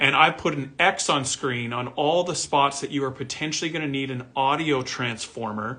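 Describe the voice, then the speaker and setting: Here a man speaks with a bright, sharp tone and fairly high pitch. His pace is moderate and his intonation fairly even. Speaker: audio gear company owner explaining products. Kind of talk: tutorial. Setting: video recording with camera and diagrams. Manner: casual, conversational. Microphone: camera may be distorting pitch.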